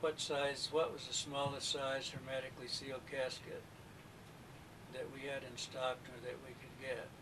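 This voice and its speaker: A man's fairly high voice moves at a moderate pace against noticeable background noise. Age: 60s. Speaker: former mortician, interviewee. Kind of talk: recorded witness interview. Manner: halting.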